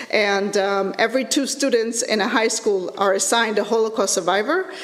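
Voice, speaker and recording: Over noticeable background noise and audible room echo, a woman with a fairly high pitch talks at a fairly quick pace with very even loudness. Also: ordinary pitch variation. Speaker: lecturer in educational technology. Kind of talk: conference presentation. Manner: halting, many fillers.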